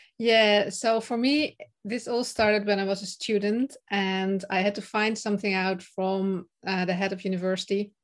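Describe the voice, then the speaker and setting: A woman with a Dutch accent talks at a moderate pace and medium pitch. She barely pauses, and her intonation stays fairly even. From Netherlands. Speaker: confidence and speaking coach. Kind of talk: interview, casual chat. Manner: some hesitations and fillers.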